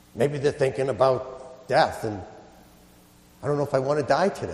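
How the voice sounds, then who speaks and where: A man's fairly high voice at a moderate pace with fairly even intonation. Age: 50s. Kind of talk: sermon.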